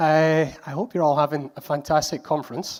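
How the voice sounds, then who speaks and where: The man talks at a moderate pace and a fairly high pitch, captured on a very clean recording with a silent background. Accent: Scottish. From Scotland. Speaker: conference speaker. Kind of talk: conference talk.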